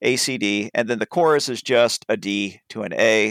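A man in a plain, everyday voice, with lively intonation and a fairly slow pace, on a very clean recording with a silent background and a dry, close sound with no echo. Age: 30s. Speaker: music podcast host. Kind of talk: casual chat. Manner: explanatory, lecture-like.

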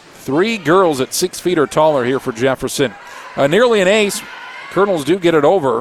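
The speech moves at a moderate pace with lively intonation. Background noise is noticeable. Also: man, fairly high pitch for a man. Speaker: radio sports play-by-play announcer. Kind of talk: live play-by-play commentary. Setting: courtside at a gym, radio broadcast.

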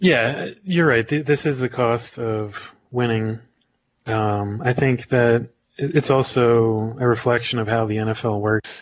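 Here a man has an ordinary speaking voice at a medium pitch. He talks at a fairly slow pace with ordinary pitch variation. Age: 30s. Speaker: sports writer and podcast co-host. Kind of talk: casual chat.

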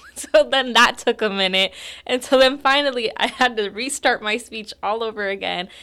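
Over noticeable background noise, a woman with an American accent speaks at a moderate pace, her fairly high voice showing ordinary pitch variation. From Roseland, Santa Rosa, California. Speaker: school board trustee. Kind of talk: interview. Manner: hesitant, many fillers.

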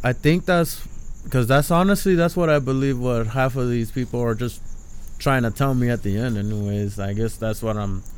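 At a fairly quick pace, a man with a plain, everyday voice talks at medium pitch with lively intonation. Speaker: podcast host. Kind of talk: casual banter, rant podcast.

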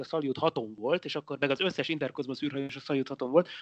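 The background is quiet. A man talks at a fairly quick pace in a bright, sharp tone. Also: dry, close sound with no echo. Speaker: physicist, science podcast co-host. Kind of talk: casual chat. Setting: Skype call.

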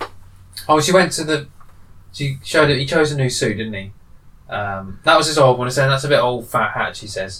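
Using a British accent, a man speaks at a fairly quick pace and a fairly high pitch, with big swings in loudness. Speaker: co-host. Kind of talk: casual chat.

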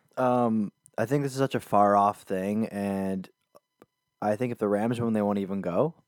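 The speech comes at a moderate pace with fairly even intonation. The sound is dry and close, with no echo. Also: man. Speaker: podcast co-host. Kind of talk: casual chat. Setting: home recording.

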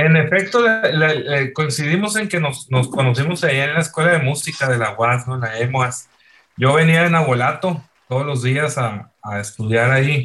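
A man talks at a moderate pace in a fairly high voice. His tone is bright and sharp, with lively intonation. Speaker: rock musician. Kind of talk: casual chat.

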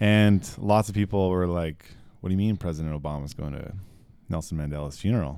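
At a fairly quick pace, a man speaks with a very deep, low pitch, a dark, mellow tone and ordinary pitch variation. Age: 30s. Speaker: guitarist and air force member. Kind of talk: casual chat.

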